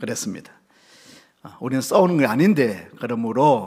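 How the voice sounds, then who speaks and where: The speaker has a Gyeongsang accent and ordinary pitch variation. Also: man. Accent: Gyeongsang intonation. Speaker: pastor. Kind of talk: sermon. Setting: church service. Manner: strong, emphatic intonation.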